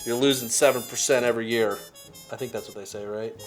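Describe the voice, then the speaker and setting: Over music in the background, a man at a medium pitch speaks at a very fast pace with fairly even intonation. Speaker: pickleball shop owner. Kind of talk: casual interview questions.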